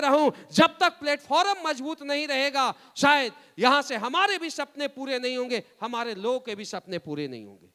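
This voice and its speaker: Raised and projected, a man's voice has a bright, sharp, animated tone and ordinary pitch variation, recorded with a dry, close sound and no echo. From Bihar, India. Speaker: motivational speaker, network marketing leader. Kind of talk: motivational speech.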